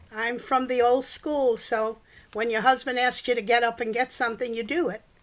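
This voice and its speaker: Talking with a New York accent, a woman keeps a moderate pace and fairly even intonation at a fairly high pitch. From US Northeast, New York (the Bronx). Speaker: home cook. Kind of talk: casual chat. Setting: live stream at home.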